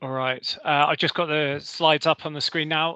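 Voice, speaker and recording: A man with a British accent speaks at a moderate pace in a fairly high pitch, his tone bright and sharp, his intonation monotone and flat, the sound dry and close with no echo. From Britain. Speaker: energy company representative. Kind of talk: presentation.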